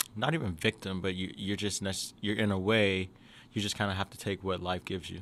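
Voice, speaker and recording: With an American accent, a man speaks at a moderate pace in a very deep, low pitch and flat, monotone intonation. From US South, Jackson, Mississippi. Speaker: education entrepreneur. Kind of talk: podcast interview. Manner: casual, many fillers.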